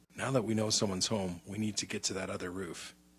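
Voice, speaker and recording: Putting on a raspy character voice, a man talks at a very fast pace. His pitch is fairly low and his intonation fairly even. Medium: audio drama. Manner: terse, commanding.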